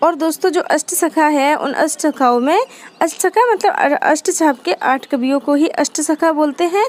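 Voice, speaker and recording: A woman with a Rajasthani accent and high pitch speaks with lively intonation and very even loudness, in a dry, close sound with no echo. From Rajasthan, India. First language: Rajasthani (speaking Hindi). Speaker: Hindi literature teacher. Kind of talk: lecture. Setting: at home in Rajasthan, temple aarti audible. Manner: repetitive, explanatory.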